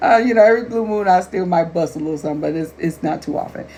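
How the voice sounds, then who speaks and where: A woman's voice with ordinary pitch variation, set against noticeable background noise. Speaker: life coach and author. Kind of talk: casual talk to camera.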